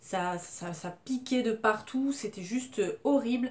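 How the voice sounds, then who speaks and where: The speaker here is a woman. She shows ordinary pitch variation. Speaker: beauty vlogger. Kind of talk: casual product review. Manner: loud.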